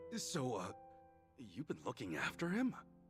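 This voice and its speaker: Over clear background music, a man uses a raspy, put-on character voice at a medium pitch, with very wide pitch swings and a moderate pace. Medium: video game.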